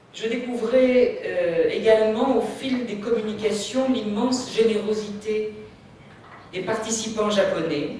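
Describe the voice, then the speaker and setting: A woman talks very slowly at a fairly high pitch. Noticeable background noise and audible room echo fill the recording. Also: fairly even intonation. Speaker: conference speaker on children's storytelling. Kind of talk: conference talk. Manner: slow, deliberate for interpretation; hesitant, many fillers.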